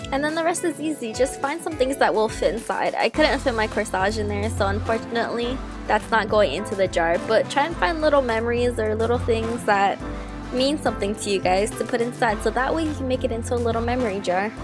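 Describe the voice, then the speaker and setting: Music plays in the background. Over it, a woman talks at a very fast pace. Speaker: DIY crafts YouTuber. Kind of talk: tutorial voice-over.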